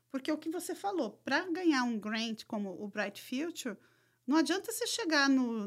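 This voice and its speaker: This woman has a high-pitched voice with very wide pitch swings. Her pace is moderate. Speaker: educational and financial consultant. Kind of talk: casual chat.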